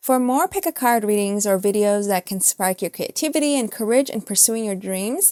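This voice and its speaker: Recorded very cleanly against a silent background, a woman with a dark, mellow tone speaks at a moderate pace with ordinary pitch variation. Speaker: tarot reader. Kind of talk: channel outro; tarot reading.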